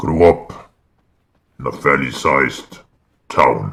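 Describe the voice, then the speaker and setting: In a put-on character voice, a man speaks at a fairly slow pace with a very deep, low pitch. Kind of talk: roleplay character monologue. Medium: game stream. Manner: hesitant, measured, reflective.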